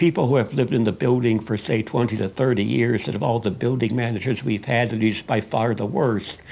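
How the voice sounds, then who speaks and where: A man with an American accent speaks at a fairly quick pace. His medium-pitched voice carries vocal fry. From Chicago, US Midwest. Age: 70s. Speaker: documentary subject. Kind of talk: interview. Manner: halting.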